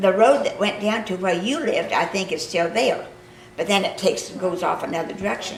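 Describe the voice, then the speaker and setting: Delivered at a fairly quick pace with a Midwestern US accent and ordinary pitch variation. The room echo is audible, and background noise is noticeable. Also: woman, medium pitch for a woman. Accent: rural Midwestern American. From Kansas. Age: 80s+. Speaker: local history interviewer. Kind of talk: reminiscing conversation.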